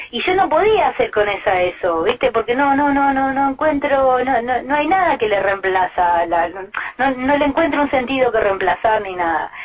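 A woman with a Rioplatense accent speaks at a moderate pace, her high voice swinging very widely in pitch. She hardly pauses, and there is noticeable background noise. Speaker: singer-songwriter. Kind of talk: interview. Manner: halting.

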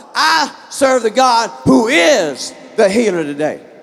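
Over noticeable background noise, a man speaks in an animated tone at an extremely high pitch, with very wide pitch swings. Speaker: pastor. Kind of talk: sermon. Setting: church. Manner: animated, call-and-response preaching; fervent, emphatic.

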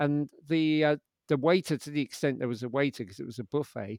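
Over a quiet background, a man with a London accent and a fairly high pitch is heard with a dry, close sound and no echo. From London, England. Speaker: podcast host. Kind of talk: interview chat.

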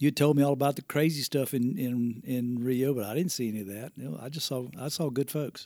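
With a strong Southern US accent, a man talks at a fairly quick pace with hardly any pauses, his medium-pitched voice dark and mellow with ordinary pitch variation. The recording is very clean, the background silent. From US South, Spartanburg, South Carolina. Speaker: floor covering business owner. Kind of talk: casual interview. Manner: mumbling at times.

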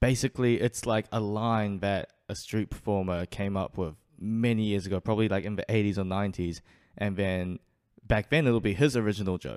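A man with a New Zealand accent talks at a fairly quick pace in a fairly low pitch, his intonation fairly even, the sound dry and close with no echo on a very clean recording over a silent background. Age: 20s. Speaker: street performer. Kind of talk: casual chat.

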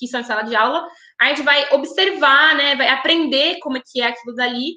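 Her voice is raised and projected, with a bright, sharp tone and high pitch for a woman. She keeps a moderate pace and ordinary pitch variation. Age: 20s. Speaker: pedagogy student. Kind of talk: casual chat.

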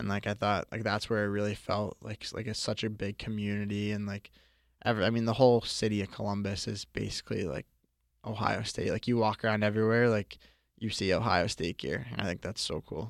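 A man with an American accent and a normal speaking voice, fairly low in pitch, with fairly even intonation, a fairly quick pace, and a dry, close sound with no echo. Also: very clean recording, silent background. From Boston. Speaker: college ice hockey player. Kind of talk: interview.

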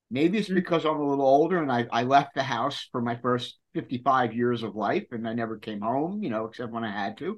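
A man has a plain, everyday voice at medium pitch, talking at a fairly quick pace with lively intonation. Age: 60s. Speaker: podcast host. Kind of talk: casual interview. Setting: video call.

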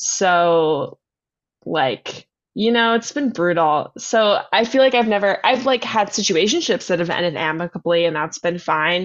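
With an ordinary speaking voice, a woman at a medium pitch uses lively intonation and very even loudness at a fairly slow pace. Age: 20s. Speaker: podcast host. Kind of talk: casual chat.

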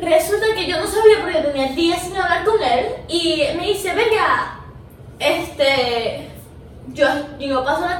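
With audible room echo and noticeable background noise, a woman's extremely high voice rises and falls with lively intonation. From Venezuela. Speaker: filmmaker. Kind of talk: casual interview chat.

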